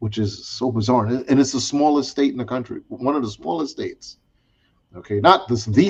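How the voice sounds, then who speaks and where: With a strong New York accent, a man speaks at a medium pitch and a fairly quick pace. His intonation is lively and his voice somewhat breathy. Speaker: discussion panel host. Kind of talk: casual chat.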